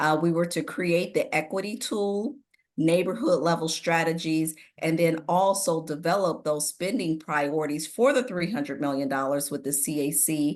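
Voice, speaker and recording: With lively intonation, a woman speaks at a moderate pace in a fairly low voice. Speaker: city staff presenter. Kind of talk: public meeting presentation. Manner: hesitant, many fillers.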